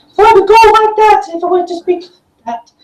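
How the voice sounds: A put-on character voice, squeaky and extremely high-pitched. It rattles along at a very fast pace.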